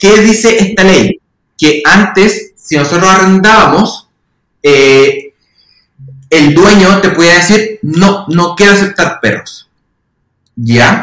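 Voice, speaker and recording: A man with a bright, sharp tone and high pitch speaks very slowly, with long, frequent pauses, ordinary pitch variation and very even loudness. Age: 30s. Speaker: occupational therapist and university lecturer. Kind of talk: casual interview chat.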